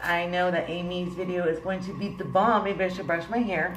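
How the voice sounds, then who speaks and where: A woman's voice with audible room echo and music in the background. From Puerto Rican heritage. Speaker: beauty vlogger. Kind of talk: makeup tutorial vlog. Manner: casual, laughing.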